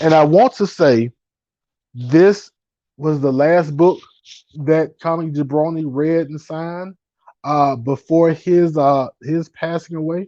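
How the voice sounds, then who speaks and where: A fairly high-pitched man's voice, dark and mellow in tone, at a very slow pace with long, frequent pauses, ordinary pitch variation, and a dry, close sound with no echo. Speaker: comic book collector YouTuber. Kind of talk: live stream casual chat. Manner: halting.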